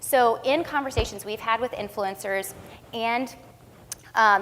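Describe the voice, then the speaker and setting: Ordinary pitch variation shapes the speech. The speaker is a woman. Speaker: agency founder and conference speaker. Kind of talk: conference presentation. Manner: fast.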